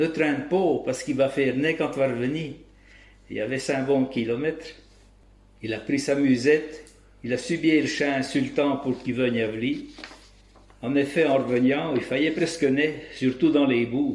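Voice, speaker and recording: With a Bresse accent, a man talks at a moderate pace and a fairly high pitch, his intonation fairly even and broken by long, frequent pauses. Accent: rural Bresse regional dialect. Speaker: local dialect storyteller. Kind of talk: folk tale storytelling.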